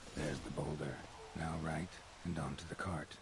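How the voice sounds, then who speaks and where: Loud background noise runs behind a man doing a put-on character voice. It is pitched very deep and low and moves at a moderate pace. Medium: game stream. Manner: terse, deadpan.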